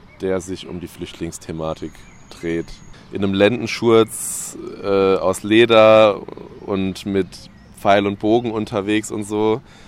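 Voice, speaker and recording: A man's fairly low voice at a very slow pace, with long, frequent pauses, fairly even intonation and noticeable background noise. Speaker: rapper. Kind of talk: casual chat. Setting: outdoors.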